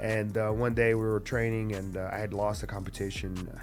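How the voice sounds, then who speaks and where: A man speaks in a fairly low pitch. Music plays in the background. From Brazil. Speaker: jiu-jitsu coach and former fighter. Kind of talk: interview answer. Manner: casual, conversational.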